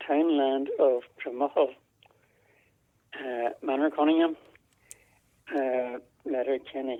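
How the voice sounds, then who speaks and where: Fairly even intonation marks this voice with a Donegal accent, broken by long, frequent pauses. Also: man. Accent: Ulster Irish (Donegal). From Ireland, East Donegal. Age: 80s+. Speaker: interviewee, elderly farmer's son. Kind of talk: oral history interview. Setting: phone call. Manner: hesitant, many fillers.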